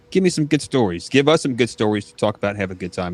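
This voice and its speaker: Intonation rises and falls in a lively way. The speech comes with an American accent. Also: man. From northern US. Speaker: podcast host. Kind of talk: casual chat.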